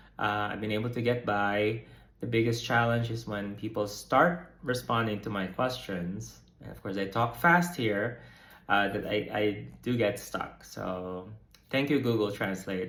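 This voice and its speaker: A man's bright, sharp voice with an American accent, at a fairly slow pace amid audible room echo. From United States. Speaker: psychotherapist and vlogger. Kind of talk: casual vlog update. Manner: hesitant, many fillers and repeats.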